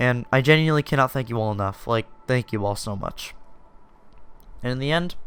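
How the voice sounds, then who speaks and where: A man speaks at medium pitch and a fairly quick pace with ordinary pitch variation, leaving long, frequent pauses. Music plays in the background. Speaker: YouTuber and indie game developer. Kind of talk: personal storytelling monologue. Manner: casual, filler-heavy with false starts.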